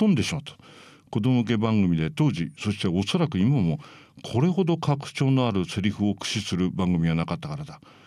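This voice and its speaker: A very clean recording with a silent background of a man's fairly low voice, dark and mellow in tone, with very wide pitch swings. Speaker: writer and critic on tokusatsu and anime. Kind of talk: reading aloud his own essay; casual monologue.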